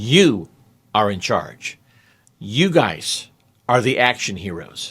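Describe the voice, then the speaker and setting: A man's bright, sharp voice with vocal fry and very wide pitch swings comes through on a very clean recording with a silent background. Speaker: grammar teacher. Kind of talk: tutorial. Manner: animated.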